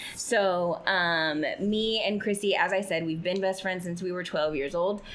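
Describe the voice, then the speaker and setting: A woman speaks with fairly even intonation, and audible room echo can be heard. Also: medium pitch for a woman, fairly slow pace. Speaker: podcast host. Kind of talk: casual chat.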